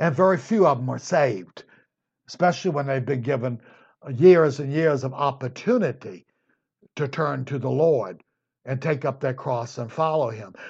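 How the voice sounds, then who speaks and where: Against a quiet background, a somewhat breathy man with a fairly high pitch speaks at a moderate pace with ordinary pitch variation. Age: 60s. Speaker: Bible teacher. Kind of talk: Bible study lecture. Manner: conversational.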